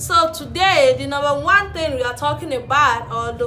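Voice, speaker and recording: A woman at a moderate pace, with audible room echo and music in the background. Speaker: relationship vlogger. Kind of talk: casual vlog talk to camera.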